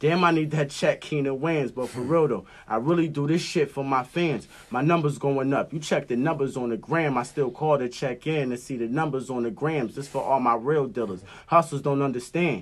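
An ordinary speaking voice from a man, fairly high-pitched, with ordinary pitch variation and a moderate pace. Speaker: rapper guest. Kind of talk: casual chat.

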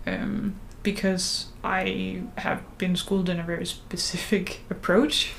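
Speaking at a very slow pace, a woman talks with a Danish accent. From Denmark. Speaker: podcast host, religious studies student. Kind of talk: casual chat.

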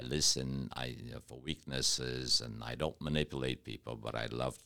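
At a moderate pace, the speaker uses an American accent and a bright, sharp tone with vocal fry and a monotone, flat intonation. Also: man. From Detroit, Michigan. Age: 60s. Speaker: M&A business consultant. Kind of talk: interview. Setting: studio.

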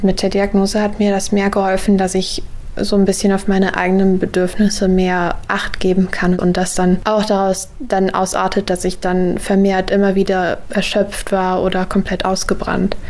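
A woman speaks at a moderate pace with hardly any pauses and very even loudness. Her medium-pitched voice has monotone, flat intonation. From western Germany (Heinsberg, Rhineland). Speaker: university student. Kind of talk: interview. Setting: at home.

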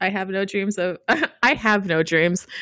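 The woman's tone is bright and sharp. She speaks at a fairly slow pace. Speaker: podcast co-host. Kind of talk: casual chat.

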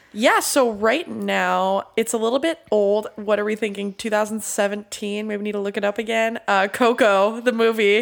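A woman speaks at a moderate pace with a medium pitch, a nasal sound and some vocal fry. Her intonation stays fairly even.

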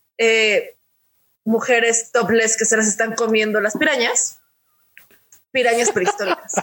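A woman with a fairly high pitch speaks with fairly even intonation and very even loudness. Long, frequent pauses break up her speech. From Mexico City. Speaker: podcast co-host. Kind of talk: casual chat.

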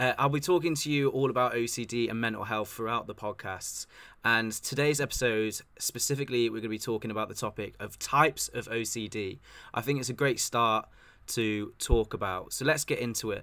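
Bright and sharp in tone, the voice moves at a fairly quick pace in an English accent. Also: man, medium pitch for a man, ordinary pitch variation, very clean recording, silent background. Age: 20s. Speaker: podcast host. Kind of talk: casual chat.

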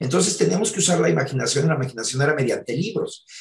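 A man with a Mexican accent speaks at a fairly high pitch with lively intonation. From Mexico. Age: 60s. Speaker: theatre actor and producer. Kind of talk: interview.

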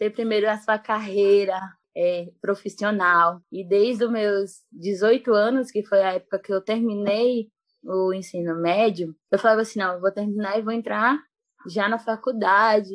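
A woman talks at a fairly slow pace in a medium pitch, her intonation fairly even. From Bahia, Brazil. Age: 20s. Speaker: missionary and jiu-jitsu teacher. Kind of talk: casual interview. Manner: calm.

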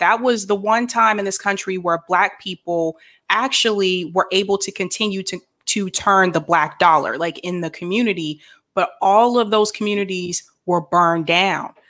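In an unremarkable speaking voice, a woman with an American accent talks fairly slowly at a medium pitch with ordinary variation. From various places, military family. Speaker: podcast host. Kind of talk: interview.

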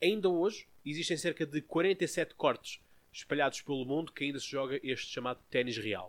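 A man with a fairly high pitch and lively intonation talks at a moderate pace. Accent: European Portuguese. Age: 20s. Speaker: podcast host. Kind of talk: casual chat.

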